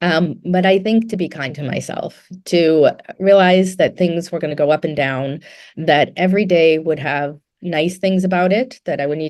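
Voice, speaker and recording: A woman with an unremarkable speaking voice, a fairly low pitch and ordinary pitch variation, at a fairly quick pace. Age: 60s. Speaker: physician running an integrative clinic. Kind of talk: interview. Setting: podcast.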